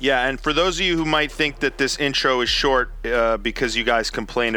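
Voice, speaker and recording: Against noticeable background noise, a man speaks at medium pitch and a moderate pace with ordinary pitch variation. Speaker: podcast host. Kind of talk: casual interview chat.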